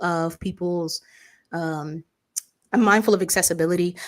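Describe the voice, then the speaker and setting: Fairly low in pitch, a woman speaks at a moderate pace with fairly even intonation on a very clean recording with a silent background. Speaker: livestream co-host. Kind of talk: casual chat.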